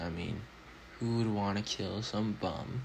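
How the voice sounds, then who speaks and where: Mumbling at a fairly slow pace, a man speaks in a fairly low pitch. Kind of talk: casual anime analysis voiceover. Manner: mumbling a bit.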